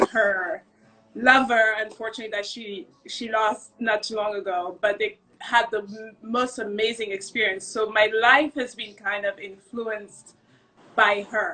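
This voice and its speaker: A woman with a non-native accent, fairly high-pitched and bright and sharp in tone, at a fairly slow pace with big swings in loudness. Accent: non-native, noticeable. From Cameroon. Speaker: restaurant maître d'. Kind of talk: casual interview chat.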